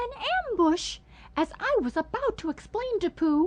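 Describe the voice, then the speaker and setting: This put-on character voice is squeaky and pitched extremely high. It moves at a moderate pace. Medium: read story.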